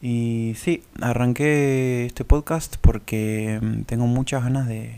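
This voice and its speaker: A man with an Argentine accent and fairly even intonation. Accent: Rioplatense Argentine Spanish. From Argentina, Buenos Aires and Córdoba. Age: 20s. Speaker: podcast host. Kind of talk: solo monologue. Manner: halting.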